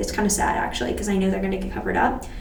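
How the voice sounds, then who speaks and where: In an American accent, a woman talks through noticeable background noise and audible room echo. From Texas. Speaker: beauty and astrology vlogger. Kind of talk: casual chat while doing makeup. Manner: fast, rambling casual.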